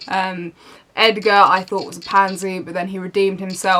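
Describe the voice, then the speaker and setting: A woman with a British accent over noticeable background noise. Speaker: book reviewer. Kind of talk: casual talk to camera.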